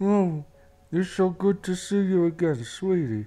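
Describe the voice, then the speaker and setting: In a put-on character voice at a middle pitch, the speaker mumbles along at a fairly slow pace. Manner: warm, affectionate.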